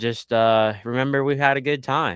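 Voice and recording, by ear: A man talks with a clear, smooth, fairly bright tone. His pitch varies in an ordinary way.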